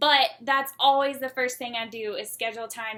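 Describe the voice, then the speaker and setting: Bright and sharp in tone, a woman with a Southern US accent speaks with fairly even intonation in a very clean recording with a silent background. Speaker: student. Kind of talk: casual class project presentation.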